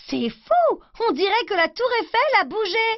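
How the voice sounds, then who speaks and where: A put-on character voice at an extremely high pitch and a fairly slow pace. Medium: read story. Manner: exclamatory, excited.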